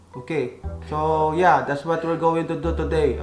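A man speaks with a Filipino accent. Clear music plays in the background. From Philippines. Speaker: vlogger. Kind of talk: casual talk to camera. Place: home room. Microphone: phone near.

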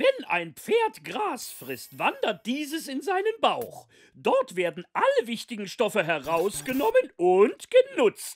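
In a cartoonish character voice, the speaker goes at a slow pace with few pauses and very wide pitch swings.

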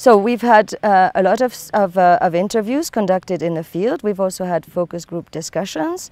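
The sound is dry with no echo as a woman talks at a moderate pace with ordinary pitch variation. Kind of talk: interview answer. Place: open country. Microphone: lapel.

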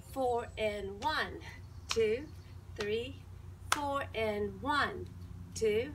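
A woman talks at a very slow pace over noticeable background noise. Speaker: fitness instructor. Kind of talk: exercise class instruction and counting. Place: garden. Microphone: camera far.

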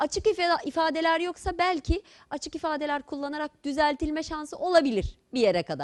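Dry and close with no echo, a woman's high voice moves at a moderate pace over a quiet background. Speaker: medical school lecturer. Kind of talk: lecture.

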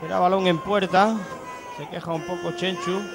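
A man speaks in a high voice with an animated tone and ordinary pitch variation. Noticeable background noise runs behind him. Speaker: football commentator. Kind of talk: live commentary. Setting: stadium commentary position.

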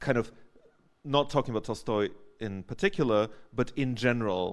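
The background is quiet. A man talks at a fairly quick pace with ordinary pitch variation. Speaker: audience member, sociologist; audience member. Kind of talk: academic Q&A. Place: hall.

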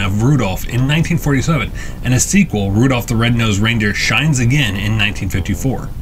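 A man speaking at a moderate pace over light background noise. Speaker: channel narrator. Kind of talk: documentary narration.

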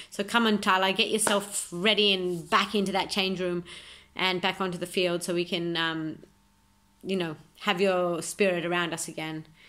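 Bright and sharp in tone, this voice moves at a moderate pace with monotone, flat intonation and an Australian accent. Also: woman. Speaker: amateur footballer. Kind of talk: self-recorded video monologue. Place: home room. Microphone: phone near.

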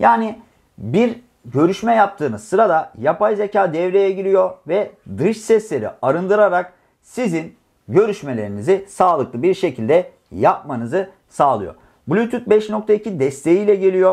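A man speaks fairly slowly in a high pitch with lively intonation. The background is quiet. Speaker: tech reviewer. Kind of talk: product review.

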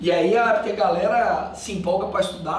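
This man's voice sits high in pitch, with ordinary pitch variation. Audible room echo surrounds it. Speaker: criminal law teacher. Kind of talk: lecture. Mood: agitated, scolding, joking. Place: classroom. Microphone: camera far.

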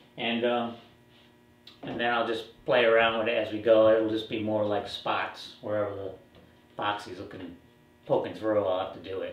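In a room with audible echo, a man speaks at a moderate pace in a monotone, flat intonation, with long, frequent pauses. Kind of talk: tutorial. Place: workshop. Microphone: camera far.

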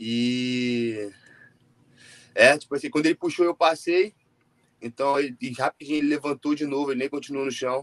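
Long, frequent pauses break up a man's moderate pace and fairly even intonation. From Brazil. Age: 20s. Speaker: jiu-jitsu athlete; interviewee. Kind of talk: interview. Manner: casual, filler-heavy. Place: home room. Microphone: video call.

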